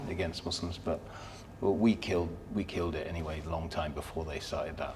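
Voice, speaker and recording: A man with a southern English accent speaks at a fairly quick pace in a very deep, low voice with fairly even intonation. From southern England, Surrey. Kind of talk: podcast interview.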